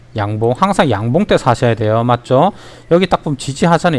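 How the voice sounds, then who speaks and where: A man talks at a medium pitch in a strong Gyeongsang accent, his tone animated and his pitch swinging very widely. The pace is fairly quick, and the sound is dry and close with no echo. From Ulsan, South Korea. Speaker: stock market educator. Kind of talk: livestream stock tutorial.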